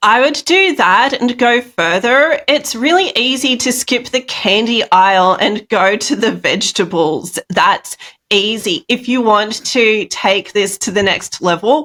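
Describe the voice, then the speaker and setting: In an Australian accent, a woman with a fairly high pitch and a bright, sharp tone speaks at a fairly slow pace, with very even loudness and hardly any pauses. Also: lively intonation. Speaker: speaker and health coach. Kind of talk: interview conversation.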